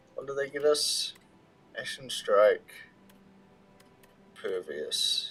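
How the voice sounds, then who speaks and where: Over noticeable background noise, a man speaks very slowly in a relaxed tone. He leaves long, frequent pauses. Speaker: gaming livestreamer. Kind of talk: casual gaming livestream commentary. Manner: casual, relaxed.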